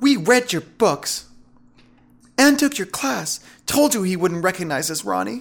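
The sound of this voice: A man puts on a character voice, high-pitched with vocal fry and big pitch swings. He speaks at a fairly slow pace.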